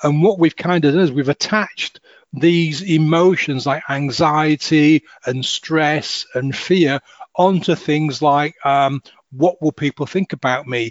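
A man speaks with a Hull accent at a fairly slow pace. His pitch is fairly high. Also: fairly even intonation. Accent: northern English, Hull. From northern England, Hull. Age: 50s. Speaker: hypnotist and life coach. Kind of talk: interview conversation.

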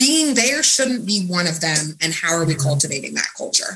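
A woman speaks with a Midwestern US accent. Her pitch varies in an ordinary way. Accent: US Midwest. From Kansas City area, Missouri. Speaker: accountant. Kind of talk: radio interview.

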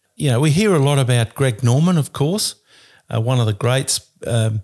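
A man with an Australian accent in a very clean recording with a silent background. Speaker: sports commentator. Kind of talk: casual chat.

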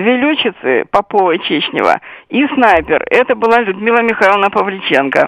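Over a quiet background with a dry, close sound and no echo, a woman speaks at a moderate pace in a fairly high pitch with vocal fry, very wide pitch swings and very even loudness. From Sevastopol, Crimea. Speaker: writer and military historian. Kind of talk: interview.

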